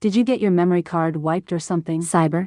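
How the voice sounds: A cartoonish character voice from a woman, fairly low in pitch, delivered at a very fast pace with fairly even intonation and very even loudness. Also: dry, close sound with no echo.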